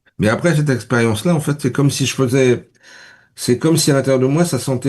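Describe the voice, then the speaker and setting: A man's voice has a dark, mellow tone. His pitch variation is ordinary. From Paris region, France. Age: 60s. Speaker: spiritual interview guest, entrepreneur. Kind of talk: interview. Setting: radio studio. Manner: halting, many repetitions and fillers.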